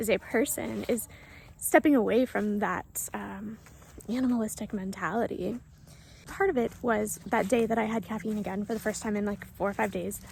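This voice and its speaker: Soft-spoken with vocal fry, a woman talks at a medium pitch and moderate pace. Her intonation stays fairly even. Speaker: spiritual vlogger. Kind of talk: casual monologue.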